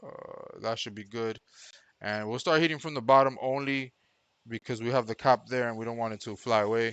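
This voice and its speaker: Over a quiet background, a man at medium pitch talks at a fairly quick pace with fairly even intonation. His loudness swings widely. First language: not English. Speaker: electronics repair technician. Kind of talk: live-streamed repair commentary. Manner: casual, thinking aloud.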